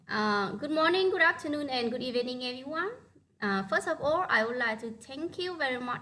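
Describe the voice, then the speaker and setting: A woman speaks with a Vietnamese accent in a high, bright, sharp voice. Her pitch varies in an ordinary way. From northern Vietnam. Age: 30s. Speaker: primary school teacher. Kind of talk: online presentation. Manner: halting.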